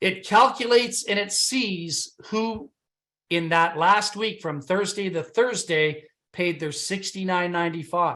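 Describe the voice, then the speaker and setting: A man with a Canadian accent uses a raised, projected voice at a high pitch and a fairly slow pace. His tone is animated, bright and sharp. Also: ordinary pitch variation, quiet background. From Canada. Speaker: business opportunity presenter. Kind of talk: sales pitch.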